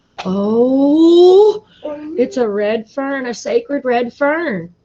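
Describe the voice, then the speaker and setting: A woman's put-on character voice, high-pitched with very wide pitch swings, at a very slow pace. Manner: awed, reverent.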